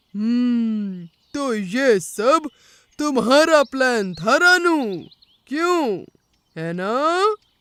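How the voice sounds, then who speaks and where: A cartoonish character voice, fairly high in pitch, goes along at a very slow pace. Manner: hesitant fillers, hmm and arre.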